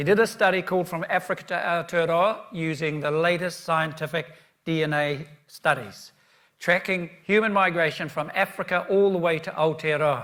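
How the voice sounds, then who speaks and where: A man with a New Zealand accent speaks at a high pitch and a moderate pace. His tone is bright and sharp, his intonation fairly even. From New Zealand, east coast of North Island. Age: 70s. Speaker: keynote speaker. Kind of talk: conference presentation.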